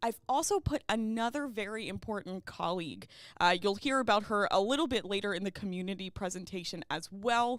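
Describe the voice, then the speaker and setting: In an American accent, a normal speaking voice moves at a fairly quick pace in a very clean recording with a silent background. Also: woman, medium pitch for a woman, ordinary pitch variation. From US, Baltimore. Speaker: university ethics coordinator. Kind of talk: livestream presentation. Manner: casual with many fillers.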